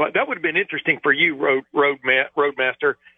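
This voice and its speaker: A man's fairly high voice keeps a fairly even intonation as he talks. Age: 60s. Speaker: sports beat reporter. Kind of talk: sports talk radio interview. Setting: phone call. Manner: halting.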